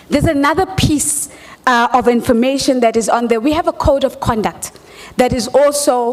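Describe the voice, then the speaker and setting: A woman's high pitch and lively intonation at a moderate pace, over noticeable background noise. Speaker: conference moderator. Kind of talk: event moderation. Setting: stage with audience.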